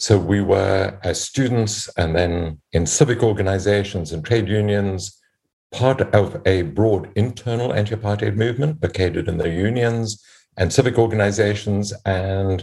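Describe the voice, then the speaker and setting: In a very clean recording with a silent background, a man speaks in a dark, mellow tone that is somewhat breathy, with ordinary pitch variation. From South Africa. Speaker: professor and podcast host. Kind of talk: panel discussion.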